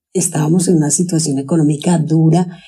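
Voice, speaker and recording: A woman with a Colombian paisa accent speaks in a fairly low pitch, somewhat breathy, with a dark, mellow tone. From Colombia, Antioquia (Sonsón). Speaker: stay-at-home mother, former nurse. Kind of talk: interview conversation.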